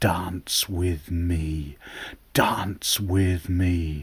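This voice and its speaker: A man performs a put-on character voice. He pitches it very deep and low. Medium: read story.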